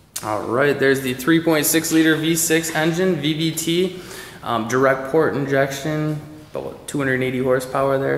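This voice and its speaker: Over light background noise and with audible room echo, a man speaks at a very slow pace. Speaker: car salesperson. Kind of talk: product walkaround commentary. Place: garage. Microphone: phone near.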